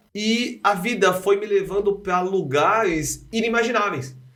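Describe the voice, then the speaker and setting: A man's voice carries audible room echo. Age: 40s. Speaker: nursing professor and health speaker. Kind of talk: podcast interview. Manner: repetitive, halting.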